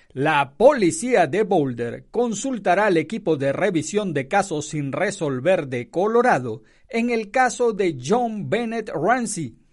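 A man with a high pitch speaks at a very slow pace, his pitch swinging very widely. He hardly pauses, and the background is quiet. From Venezuela. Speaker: radio news journalist. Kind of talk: news reading; casual radio commentary.

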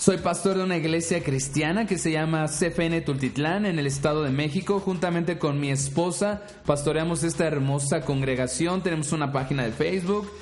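A man's fairly high voice with ordinary pitch variation, amid noticeable background noise and audible room echo. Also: moderate pace, hardly any pauses. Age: 30s. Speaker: podcast host and pastor. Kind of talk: inspirational monologue.

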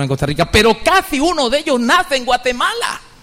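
A man's tone is animated, with noticeable background noise behind him. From Venezuela. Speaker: pastor. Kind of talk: sermon.

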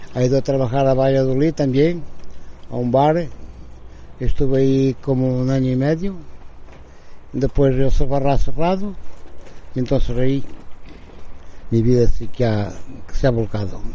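Through audible room echo, a man speaks at a moderate pace and medium pitch with ordinary pitch variation and long, frequent pauses. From Portugal, Bragança. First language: Portuguese (speaking Spanish). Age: 60s. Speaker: formerly homeless man. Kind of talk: testimony. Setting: outdoor porch. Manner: halting.

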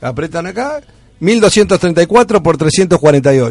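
With a Rioplatense accent, a man speaks at a high pitch with lively intonation. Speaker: radio host. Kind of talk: casual chat.

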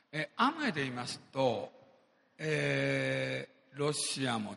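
The speech moves at a fairly slow pace while noticeable background noise runs behind it. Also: man. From Japan. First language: Japanese (speaking Portuguese). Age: 60s. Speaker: businessman. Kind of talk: motivational speech. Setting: stage with audience.

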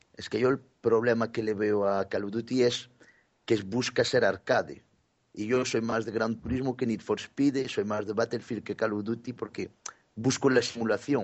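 Fairly even intonation from a man at medium pitch, delivered at a moderate pace. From Galicia, Spain. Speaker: gaming podcast contributor. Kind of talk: casual chat.

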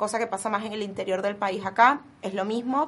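A woman speaks in an ordinary speaking voice at medium pitch and a moderate pace. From Venezuela. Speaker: dog rescuer. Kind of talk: radio interview.

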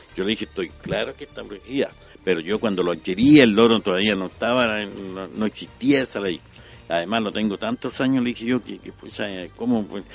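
With music in the background, a man with a fairly low pitch talks at a fairly quick pace, using ordinary pitch variation and big swings in loudness. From Chile, La Serena (Coquimbo region). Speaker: street organ grinder. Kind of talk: radio interview. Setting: radio studio. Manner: halting, many fillers.

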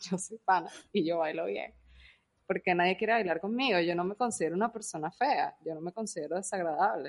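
A woman at a medium pitch and a fairly quick pace, an unremarkable speaking voice with ordinary pitch variation. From Venezuela. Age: 30s. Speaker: podcast co-host. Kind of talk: casual chat.

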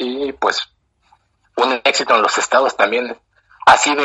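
A man with a Mexican accent at a moderate pace. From Mexico. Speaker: running club founder. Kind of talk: interview.

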